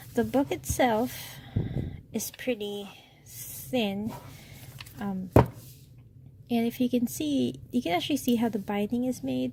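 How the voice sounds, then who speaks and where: A woman talks at a very slow pace with a medium pitch. Her pitch swings very widely. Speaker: stationery reviewer. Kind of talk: product unboxing review. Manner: soft-spoken.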